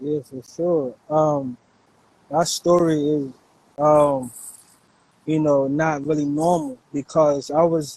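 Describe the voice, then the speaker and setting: Very slowly and with monotone, flat intonation, a man with a New York accent speaks in a dark, mellow tone at a fairly high pitch. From New York City, Brooklyn; later Virginia. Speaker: hip-hop producer. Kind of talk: interview conversation. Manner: casual, filler-heavy.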